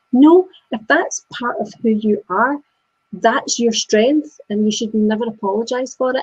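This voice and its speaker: A woman speaks at a moderate pace with an ordinary amount of pitch variation, somewhat breathy, in a Scottish accent. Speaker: business coach. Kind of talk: casual discussion. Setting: live video chat.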